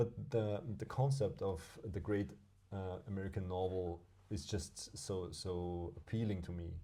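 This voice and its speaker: A man's very deep, low voice, somewhat breathy and dark and mellow in tone, at a fairly slow pace. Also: ordinary pitch variation. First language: German. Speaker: podcast co-host. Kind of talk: casual chat. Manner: halting, with many repeated words.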